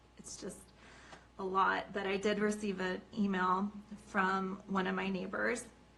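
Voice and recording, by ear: A woman uses a put-on character voice that is raspy, at medium pitch and a moderate pace. Her intonation is monotone and flat, while her loudness swings widely.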